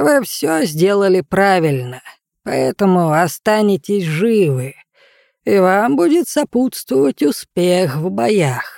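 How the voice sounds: In a put-on character voice, a woman speaks slowly at a medium pitch with big pitch swings, vocal fry and a slightly mellow tone, the sound dry and close with no echo on a very clean recording with a silent background.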